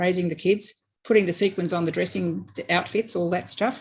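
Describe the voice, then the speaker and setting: A woman talks at a very fast pace with an Australian accent. Her pitch is fairly low, with ordinary variation. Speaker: election candidate. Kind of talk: campaign speech.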